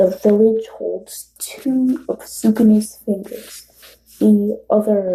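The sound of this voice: In an unforced reading voice with ordinary pitch variation, the speaker is heard against a quiet background.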